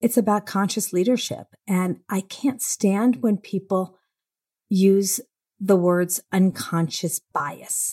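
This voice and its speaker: Very clean and dry, the close recording carries a woman's medium-pitched, somewhat breathy voice over a silent background, with no echo. She speaks at a very slow pace. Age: 60s. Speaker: CEO of a women's equality company. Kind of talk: interview. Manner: animated.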